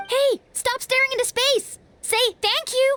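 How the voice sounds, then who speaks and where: In a put-on character voice, the speaker sounds energetic and squeaky, with an extremely high pitch and a moderate pace. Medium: video game. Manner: energetic, bold.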